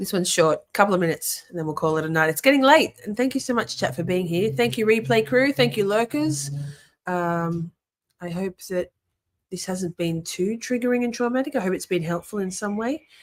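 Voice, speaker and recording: With an Australian accent, a woman talks at a fairly quick pace and a medium pitch, her voice making very wide pitch swings. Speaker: live streamer. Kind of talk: casual chat. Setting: live stream.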